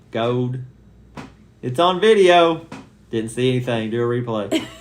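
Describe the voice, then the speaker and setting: Amid noticeable background noise and audible room echo, a man with a medium pitch and ordinary pitch variation speaks at a fairly slow pace with long, frequent pauses. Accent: Southern US. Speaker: family vlogger. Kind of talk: casual chat.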